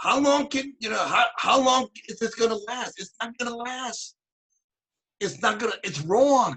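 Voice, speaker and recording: A man projects a raised voice at an extremely high pitch with ordinary pitch variation. He speaks at a fairly slow pace, with big swings in loudness. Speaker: author and activist. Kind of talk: author talk answering audience questions. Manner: halting, with many repeated words.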